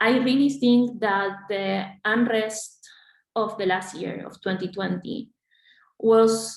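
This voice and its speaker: In a Spanish accent, a woman with a fairly high pitch talks at a very slow pace, with long, frequent pauses, big swings in loudness and fairly even intonation. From Argentina. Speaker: graduate student organization leader. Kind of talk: panel discussion. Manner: halting, many fillers and repetitions.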